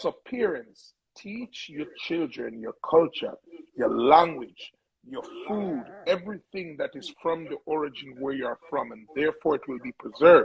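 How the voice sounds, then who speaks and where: There's a dry, close sound with no echo as a man speaks at a moderate pace. His loudness swings widely. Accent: Jamaican. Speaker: music producer. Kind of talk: interview.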